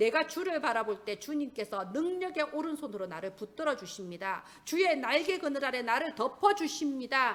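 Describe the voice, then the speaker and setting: A woman's high voice in a Gyeongsang accent, with very wide pitch swings at a moderate pace. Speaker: pastor. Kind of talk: sermon. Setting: church.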